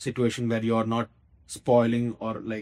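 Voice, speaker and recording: The recording is very clean, with a silent background. The speaker is a man. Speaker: podcast guest, husband. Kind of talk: casual chat. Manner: loud; expressive.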